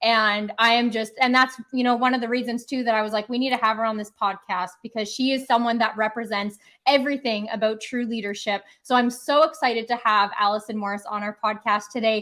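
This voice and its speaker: A woman with a bright, sharp tone talks fairly quickly at a fairly high pitch, with hardly any pauses. The recording is very clean, with a silent background. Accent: Canadian. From Canada. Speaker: podcast co-host. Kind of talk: podcast interview. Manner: animated.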